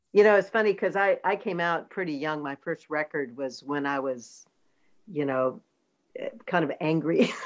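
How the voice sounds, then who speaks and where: A woman with a Southern US accent, fairly low in pitch, her intonation lively, at a moderate pace against a quiet background. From US South, North Carolina (Durham). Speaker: singer-songwriter and producer. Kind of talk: interview conversation.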